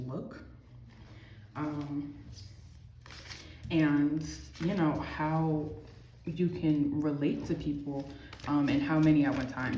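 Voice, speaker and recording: A soft-spoken woman with a very deep, low voice talks in fairly even intonation, with audible room echo. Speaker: tarot reader. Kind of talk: tarot reading. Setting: amenities building. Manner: casual, filler-heavy.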